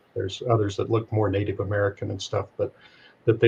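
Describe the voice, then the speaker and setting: Somewhat breathy and fairly low, a man's voice holds a monotone, flat intonation. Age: 70s. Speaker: retired pilot and spiritual speaker. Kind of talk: interview storytelling. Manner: halting, many fillers.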